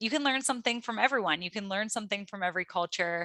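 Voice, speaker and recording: In a Midwestern accent, the speaker has a bright, sharp tone and ordinary pitch variation, captured in a very clean recording with a silent background and a dry, close sound with no echo. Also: woman. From US Midwest, Cleveland Ohio. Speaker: astrologer. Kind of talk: interview.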